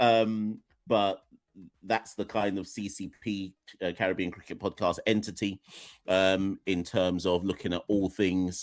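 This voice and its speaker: Against a quiet background with a dry, close sound and no echo, a man with an English accent speaks fairly slowly in a monotone, flat intonation. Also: fairly low pitch for a man. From Jamaica, raised partly in UK from age four. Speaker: cricket podcaster and educator. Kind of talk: radio interview. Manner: halting, many fillers.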